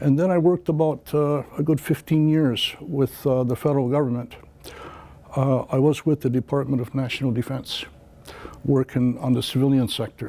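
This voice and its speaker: With an American accent, a man speaks at a medium pitch. His pace is moderate and his intonation fairly even. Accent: Canadian English, Mohawk community. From Akwesasne Mohawk territory, Canada-US border. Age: 60s. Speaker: political candidate. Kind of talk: interview. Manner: hesitant, many filler words.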